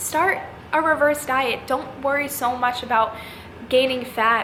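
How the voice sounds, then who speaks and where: A woman's high-pitched voice at a moderate pace, fairly even in intonation, with audible room echo and noticeable background noise. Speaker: fitness youtuber and coach. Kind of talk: casual vlog talk to camera.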